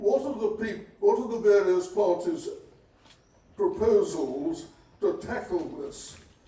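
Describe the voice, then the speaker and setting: Speaking at a very slow pace with long, frequent pauses, a man uses a high pitch with very wide pitch swings and big swings in loudness, and the room echo is audible. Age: 90s. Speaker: audience member. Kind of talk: public question.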